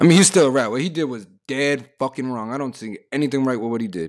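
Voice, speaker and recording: Speaking very fast, a man delivers his words in an animated tone with lively intonation over a very clean recording with a silent background. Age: 20s. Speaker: podcast host. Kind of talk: casual solo monologue.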